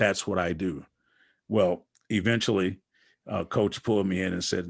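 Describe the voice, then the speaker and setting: A man with an American accent speaks at a moderate pace in a very deep, low pitch. His intonation is fairly even, and the background is quiet. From Wisconsin, US Midwest. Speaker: basketball coach and author. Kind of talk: interview conversation. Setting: podcast.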